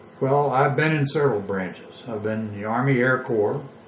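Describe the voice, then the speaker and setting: Fairly even intonation and an American accent come through over audible room echo and noticeable background noise. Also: man. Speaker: war veteran. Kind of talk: oral history interview. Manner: halting.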